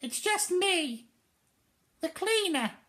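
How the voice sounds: An extremely high-pitched, put-on character voice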